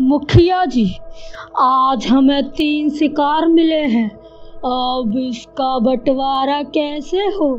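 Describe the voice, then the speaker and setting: A cackling, female-sounding put-on character voice at a very slow pace, with clear music in the background. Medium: cartoon. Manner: gloating, cackling.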